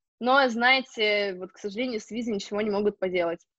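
A woman with an unremarkable speaking voice, fairly high pitch and fairly even intonation comes through in a dry, close sound with no echo and a quiet background. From Russia, Novosibirsk. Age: 20s. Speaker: hotel management student. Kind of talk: interview.

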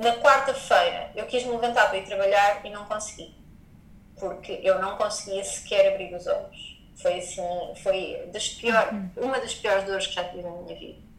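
The speaker goes at a moderate pace with big swings in loudness. Audible room echo and noticeable background noise fill the recording. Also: woman, medium pitch for a woman, ordinary pitch variation. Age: 30s. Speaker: yoga teacher and wellness entrepreneur. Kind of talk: personal testimony in interview.

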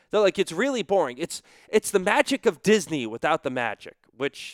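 A man with an American accent speaks at a moderate pace, his pitch swinging very widely, on a very clean recording with a silent background. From Western Massachusetts. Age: 20s. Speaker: sports podcast host and hockey broadcaster. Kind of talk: solo podcast monologue. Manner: animated.

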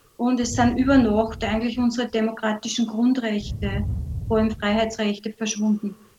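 A woman with a fairly high pitch and a dark, mellow tone speaks at a moderate pace, somewhat breathy, in a monotone, flat intonation. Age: 50s. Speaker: adult educator and human rights commentator. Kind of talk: radio interview.

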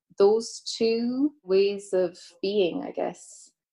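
A woman speaks very slowly with an Irish Midlands accent. Her tone is dark and mellow, and her pitch varies in an ordinary way. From Ireland, County Offaly (Midlands). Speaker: composer. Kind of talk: casual interview.

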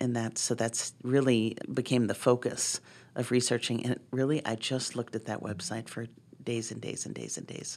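A woman with an American accent uses a very deep, low pitch, vocal fry and monotone, flat intonation. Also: moderate pace. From Boston. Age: 50s. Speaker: ceramic artist and art professor. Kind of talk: interview conversation.

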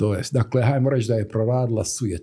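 Somewhat breathy, a man's voice has a dark, mellow tone. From Herzegovina, Stolac. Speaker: graphic designer. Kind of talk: casual interview.

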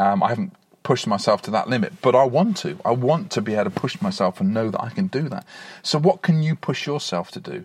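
A man speaks at a fairly quick pace. His fairly high-pitched voice is somewhat breathy. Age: 40s. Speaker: podcaster. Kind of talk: casual monologue. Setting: in a car; outdoors on a beach.

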